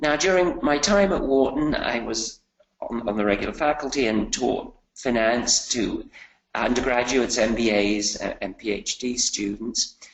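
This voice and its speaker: At a moderate pace, a man speaks with a British accent in a medium pitch. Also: lively intonation. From UK. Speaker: finance professor. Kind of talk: webinar presentation. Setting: online webinar.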